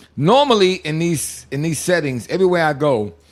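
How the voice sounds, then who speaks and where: A man speaks in an animated tone at a moderate pace, with noticeable background noise. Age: 60s. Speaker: podcast co-host. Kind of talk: casual chat.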